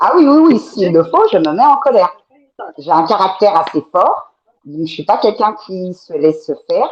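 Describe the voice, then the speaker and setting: Very wide pitch swings from a woman at a medium pitch. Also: moderate pace, big swings in loudness. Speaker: guest on talk show. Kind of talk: panel discussion. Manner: direct, assertive.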